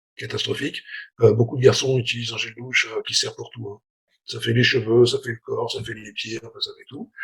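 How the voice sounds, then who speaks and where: His loudness rises and falls in big swings. The man talks fairly quickly. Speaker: sales trainer for beauty salons. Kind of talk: online masterclass. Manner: fast; hesitant, many fillers.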